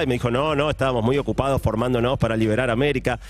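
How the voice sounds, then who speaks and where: Noticeable background noise sits behind a man with a Rioplatense accent. He talks very fast in an animated tone. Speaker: science and technology columnist. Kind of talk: radio column chat.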